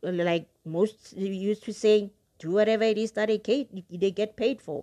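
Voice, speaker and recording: Her voice has a dark, mellow tone. The woman speaks at a fairly high pitch with fairly even intonation. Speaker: book podcast host. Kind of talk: casual podcast monologue. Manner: emotional, with long pauses.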